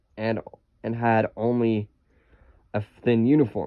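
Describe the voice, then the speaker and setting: The man's voice sits at a medium pitch. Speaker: audiobook reader. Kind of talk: reading aloud. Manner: halting, frequent self-corrections.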